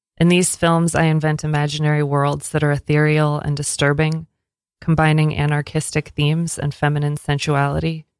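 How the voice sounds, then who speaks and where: A woman's very deep, low voice, monotone and flat, at a fairly quick pace with very even loudness, on a very clean recording with a silent background. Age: 30s. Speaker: experimental filmmaker and performance artist. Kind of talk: reading aloud; casual interview. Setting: studio.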